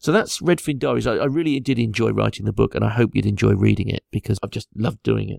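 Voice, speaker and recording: A man with an English accent talks at a very fast pace with hardly any pauses, in a dry, close sound with no echo. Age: 50s. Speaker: angler and fish scientist. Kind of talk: interview.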